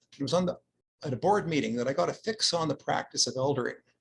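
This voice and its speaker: A man with a Canadian accent speaks at a fairly quick pace. His voice is somewhat breathy, with ordinary pitch variation. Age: 60s. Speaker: social worker. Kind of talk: conference talk.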